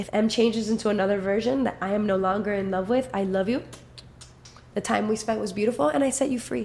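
Very fast, somewhat breathy speech from a woman at medium pitch, with ordinary pitch variation. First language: Spanish. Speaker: musician. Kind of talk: casual chat.

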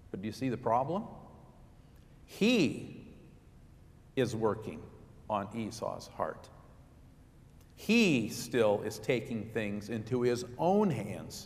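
With audible room echo, a man speaks at a very slow pace, pausing long and often. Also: medium pitch for a man, ordinary pitch variation. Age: 50s. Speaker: pastor. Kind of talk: sermon.

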